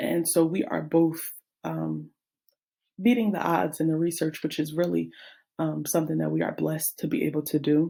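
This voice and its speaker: Delivered at a moderate pace, the speech is broken by long, frequent pauses. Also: woman. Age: 20s. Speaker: teacher and graduate student. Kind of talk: class presentation. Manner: halting.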